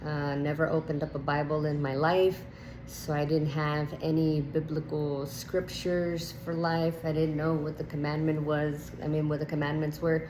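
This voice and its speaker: With a Spanish accent and a very deep, low pitch, a woman speaks at a moderate pace over noticeable background noise and audible room echo. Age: 30s. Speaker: nurse sharing testimony. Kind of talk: testimony. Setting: at home. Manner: hesitant with many fillers.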